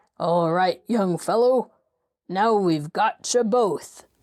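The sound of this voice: A female-sounding voice does a put-on character voice, gruff and at a middle pitch. The delivery is very slow.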